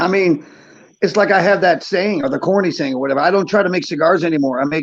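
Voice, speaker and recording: Speaking at a fairly quick pace, a man with an American accent has a high pitch and ordinary pitch variation. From Buffalo, New York, US. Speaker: cigar maker. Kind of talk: casual chat. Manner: quieter than usual.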